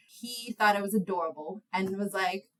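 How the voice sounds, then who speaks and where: A woman speaks with an American accent at a medium pitch. Her tone is bright and sharp. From New York City (Inwood, Manhattan). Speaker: lawyer. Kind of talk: podcast interview. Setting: podcast recording.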